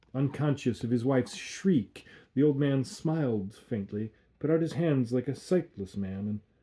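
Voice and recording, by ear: A passage is read aloud in a natural voice.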